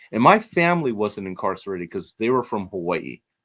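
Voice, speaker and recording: A man with a Californian accent talks at a fairly quick pace with ordinary pitch variation. The recording is very clean with a silent background and a dry, close sound with no echo. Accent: General American (Californian). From Los Angeles, California. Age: 60s. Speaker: nonprofit president and historian. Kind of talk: interview. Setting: podcast.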